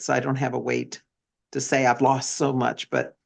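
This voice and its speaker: This woman's voice sits very deep and low in pitch, with vocal fry. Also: quiet background. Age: 60s. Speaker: nurse practitioner and product distributor. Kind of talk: testimony.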